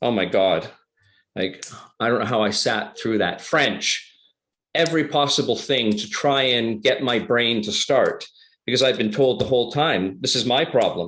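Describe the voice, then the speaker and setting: A man with a plain, everyday voice speaks at medium pitch and a fairly slow pace, with ordinary pitch variation. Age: 60s. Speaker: public speaker. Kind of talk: interview answer.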